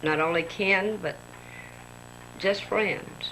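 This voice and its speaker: A woman's fairly low-pitched voice amid audible room echo and noticeable background noise. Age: 60s. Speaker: daughter speaking to her mother. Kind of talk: family tribute on tape.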